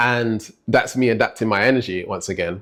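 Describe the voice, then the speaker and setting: On a very clean recording with a silent background, a man with an American accent speaks at a moderate pace and medium pitch. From Britain. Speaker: life coach. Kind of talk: motivational talk. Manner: conversational, frequent 'right?' fillers.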